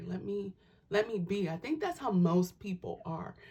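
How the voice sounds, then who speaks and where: A soft-spoken woman talks at a fairly quick pace. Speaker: tarot reader and spiritual vlogger. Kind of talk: casual vlog monologue. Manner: soft-spoken, talking low; halting, many fillers.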